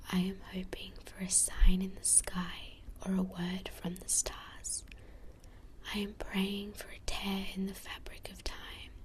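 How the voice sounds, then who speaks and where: Whispering at a fairly slow pace, a woman speaks. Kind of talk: poetry reading. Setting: binaural ASMR recording. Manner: whispered, soft-spoken.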